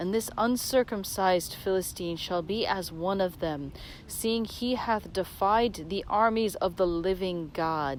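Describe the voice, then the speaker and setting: A woman has an unremarkable speaking voice at a medium pitch. She talks at a fairly slow pace with ordinary pitch variation. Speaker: reader of scripture. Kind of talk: dramatic scripture reading. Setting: outdoors, while walking. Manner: meditative, measured.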